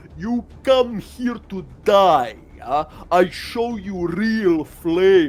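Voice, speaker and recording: A man in a put-on character voice with a high pitch, at a very slow pace, with music in the background. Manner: bellowing, menacing.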